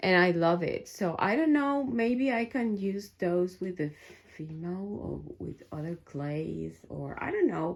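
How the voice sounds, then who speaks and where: A woman speaks with a non-native accent at a fairly slow pace. Her pitch swings very widely. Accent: foreign. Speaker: crafter and YouTuber. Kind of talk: studio tour vlog. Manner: soft-spoken; halting, many fillers.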